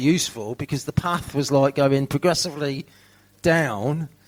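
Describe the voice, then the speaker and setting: With a slight Birmingham accent, a man speaks at a moderate pace and a fairly high pitch. His pitch varies in an ordinary way, and there is noticeable background noise. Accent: slight Birmingham twang. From England, not Birmingham. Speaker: recovering addict sharing at recovery meeting. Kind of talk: recovery share testimony. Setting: fundraiser event with audience. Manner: casual, halting with repetitions.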